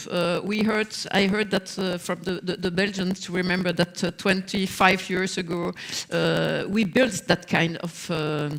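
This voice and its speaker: Amid noticeable background noise, a woman speaks at medium pitch and a fairly slow pace with monotone, flat intonation. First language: not English. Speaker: social partner representative. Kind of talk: panel discussion. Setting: stage with audience. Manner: halting, many fillers.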